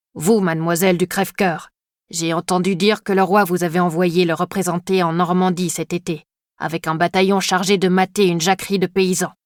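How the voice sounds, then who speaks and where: On a very clean recording with a silent background, a female-sounding, put-on character voice growls at a middle pitch and moderate pace with monotone, flat intonation. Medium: read story. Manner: pompous, formal.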